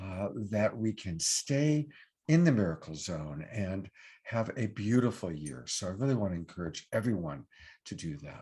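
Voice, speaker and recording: A man speaks at a moderate pace with a fairly low pitch that swings very widely, his tone dark, mellow and somewhat breathy. His loudness rises and falls a lot. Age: 60s. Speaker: online show host and love coach. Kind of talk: sponsor pitch on live online show. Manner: casual, with fillers.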